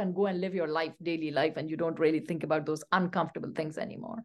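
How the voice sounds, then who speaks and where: In a Pashto accent, a woman talks at a very fast pace. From Pakistan, Pashto-speaking. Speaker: literature professor. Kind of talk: interview.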